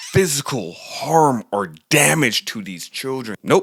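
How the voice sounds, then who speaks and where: A man speaks with lively intonation. The sound is dry and close, with no echo. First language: German. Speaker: political commentary YouTuber. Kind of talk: opinionated news commentary with jokes. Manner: animated.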